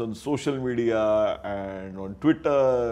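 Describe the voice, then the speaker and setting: A man is talking. His pitch shifts in an ordinary way. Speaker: interviewer. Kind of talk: interview. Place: office. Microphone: lapel.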